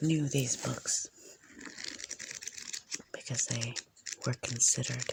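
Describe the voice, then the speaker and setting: Soft-spoken and very slow, this voice leaves long, frequent pauses against noticeable background noise. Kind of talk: ASMR book-sharing talk to camera.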